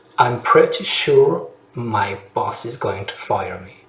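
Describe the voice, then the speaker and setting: This is a man talking. Noticeable background noise can be heard. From France. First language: French. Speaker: French language coach. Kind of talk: language lesson to camera.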